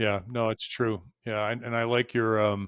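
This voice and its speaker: With an American accent, a man speaks in a plain, everyday voice at medium pitch and moderate pace, in a dry, close sound with no echo. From US Northeast, Boston. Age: 60s. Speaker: career coach. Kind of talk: interview conversation.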